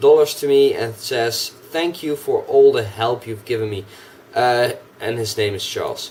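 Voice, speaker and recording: Noticeable background noise surrounds a man speaking with ordinary pitch variation. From Netherlands. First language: Dutch. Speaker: gaming YouTuber. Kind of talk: casual vlog. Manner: hesitant, many fillers. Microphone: cheap microphone.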